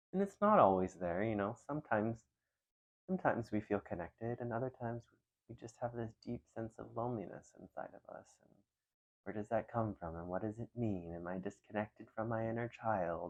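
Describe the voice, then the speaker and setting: A man's ordinary speaking voice, medium in pitch, at a fairly quick pace, with ordinary pitch variation and big swings in loudness. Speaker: mindfulness and calming roleplay creator. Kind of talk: caring friend roleplay, calming talk to camera. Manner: soft-spoken, gentle, empathetic.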